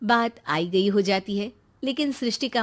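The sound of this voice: Speaking at a fairly slow pace, a woman uses a medium pitch.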